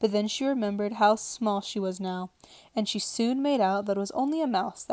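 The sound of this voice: Ordinary pitch variation shapes this unforced reading voice.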